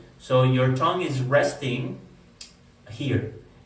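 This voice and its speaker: A man with a Spanish accent, plus audible room echo and noticeable background noise. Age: adult. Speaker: wellness vlogger. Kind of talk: personal testimony. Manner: hesitant, many fillers.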